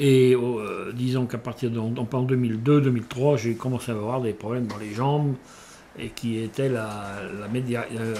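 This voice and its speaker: In a medium pitch, a man speaks with fairly even intonation. His pace is fairly slow. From western France, Vendée bocage (Bressuire). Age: 60s. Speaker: retired navy radiobiologist, nuclear test veteran. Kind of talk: testimony. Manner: halting, many hesitations and repetitions.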